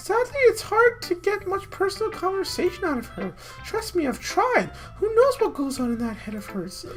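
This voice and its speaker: Clear music plays in the background of this put-on character voice. It is squeaky and extremely high, delivered at a moderate pace. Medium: game stream. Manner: warm, encouraging.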